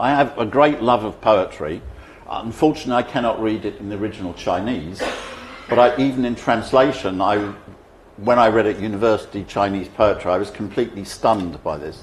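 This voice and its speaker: With a British accent and ordinary pitch variation, the speaker moves at a fairly quick pace amid noticeable background noise and audible room echo. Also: man, fairly low pitch for a man. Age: 70s. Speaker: speaker on economics. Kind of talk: conference speech.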